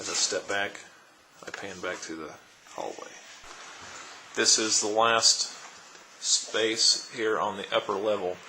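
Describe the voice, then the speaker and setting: A man's fairly low voice at a fairly slow pace, fairly even in intonation but with big swings in loudness and long, frequent pauses, over noticeable background noise. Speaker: auctioneer / real estate auction presenter. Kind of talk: real estate property walkthrough narration. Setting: recorded on location at a property, camera tour.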